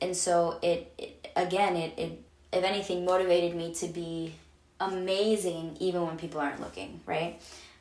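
A woman's monotone, flat delivery comes at a moderate pace against noticeable background noise. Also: fairly low pitch for a woman. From Venezuela. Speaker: podcast host. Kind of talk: solo casual monologue.

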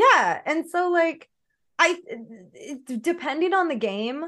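A woman speaks at a fairly slow pace with very wide pitch swings. The background is quiet. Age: 30s. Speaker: gamer, streamer and cosplayer. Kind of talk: casual chat. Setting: video call. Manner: loud; animated.

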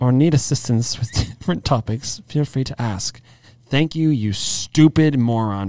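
What's heard here is a natural reading voice.

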